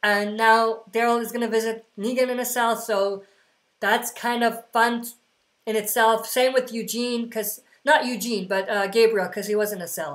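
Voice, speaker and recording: A woman's fairly high-pitched voice at a moderate pace, with fairly even intonation. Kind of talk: livestream q&a. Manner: casual; mumbling.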